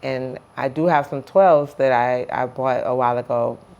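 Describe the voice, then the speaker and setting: A woman speaks in a very deep, low pitch with fairly even intonation. Noticeable background noise runs behind her. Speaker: vlogger documenting weight loss. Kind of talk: casual vlog to camera. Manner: halting, repeats words. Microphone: phone.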